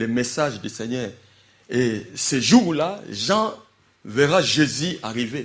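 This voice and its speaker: This is a man speaking. His intonation is lively. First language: not French (speaking French). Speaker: preacher. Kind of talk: sermon. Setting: church. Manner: animated.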